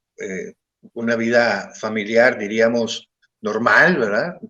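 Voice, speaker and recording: At a very slow pace, a man speaks at a medium pitch in a dry, close sound with no echo. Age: 50s. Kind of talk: interview testimony.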